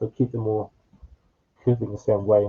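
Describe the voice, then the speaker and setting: A man with a dark, mellow tone and medium pitch speaks somewhat breathily in a dry, close sound with no echo. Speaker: cosplay maker teaching a workshop. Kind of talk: tutorial.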